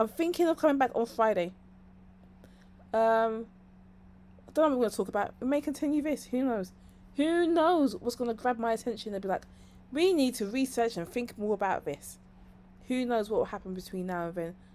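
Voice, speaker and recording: A woman with a London accent speaks at a fairly quick pace with high pitch, lively intonation, a dark, mellow tone and long, frequent pauses, in a very clean recording with a silent background. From London, England. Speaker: streamer and online marketing commentator. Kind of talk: live stream monologue. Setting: live stream. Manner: rambling, chatty.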